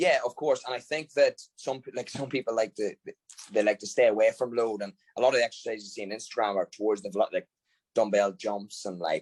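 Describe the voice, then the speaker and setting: In a dry, close sound with no echo, a man talks at a very fast pace. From Ireland. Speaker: football strength and conditioning coach. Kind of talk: podcast interview.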